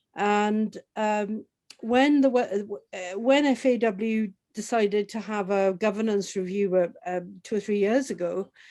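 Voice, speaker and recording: A woman with a dark, mellow tone and medium pitch speaks at a fairly slow pace with fairly even intonation over a quiet background. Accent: Welsh. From Wales, Swansea area. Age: 60s. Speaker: football association board member. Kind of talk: conversational interview.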